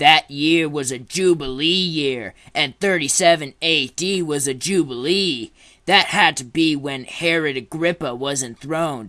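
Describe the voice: A man uses a cartoonish character voice with a smug tone and fairly high pitch, set against a quiet background. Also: moderate pace, ordinary pitch variation.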